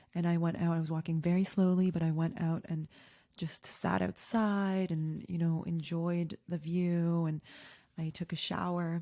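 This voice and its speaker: A woman with a Canadian accent speaks in a monotone, flat way at a fairly low pitch with a dark, mellow tone, in a very clean recording with a silent background. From Canada. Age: 30s. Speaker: podcast host. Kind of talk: personal storytelling. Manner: loud.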